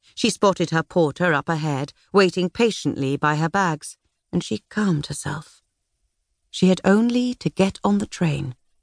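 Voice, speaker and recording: A woman with a British accent speaks in a fairly low voice at a moderate pace, her dramatic tone and lively intonation set against a quiet background. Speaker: audiobook narrator. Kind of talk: audiobook narration. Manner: measured, dramatic, period-drama storytelling with voiced characters.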